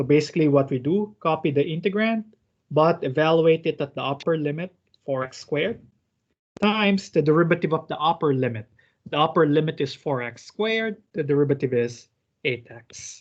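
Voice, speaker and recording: A man speaks fairly quickly in an ordinary speaking voice, his fairly high pitch showing ordinary pitch variation. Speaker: teaching assistant. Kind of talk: online math lab tutorial. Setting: video call.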